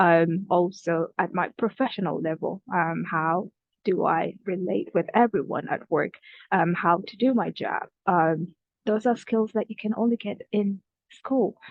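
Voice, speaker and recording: A woman with a non-native accent speaks at a medium pitch, her tone rising and falling in an ordinary way. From Kenya (refugee camp). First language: not English. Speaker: student youth advocate. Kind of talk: prepared reflections at online event. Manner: hesitant, many fillers.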